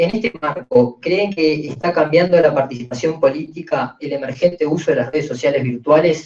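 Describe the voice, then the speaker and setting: Here a man speaks with a fairly high pitch. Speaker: panel moderator. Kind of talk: panel moderation. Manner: fast.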